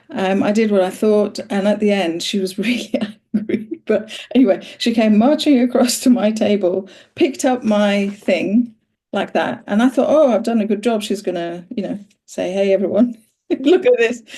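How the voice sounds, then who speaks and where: This woman's voice is dark and mellow, somewhat breathy, with ordinary pitch variation. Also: fairly high pitch for a woman, moderate pace. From Iran, moved to UK at age ten. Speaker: interviewer and voice practitioner. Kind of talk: conversational interview.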